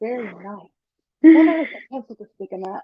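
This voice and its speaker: At a very fast pace, a woman with an American accent talks at a high pitch with very wide pitch swings. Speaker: podcast guest. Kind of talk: interview.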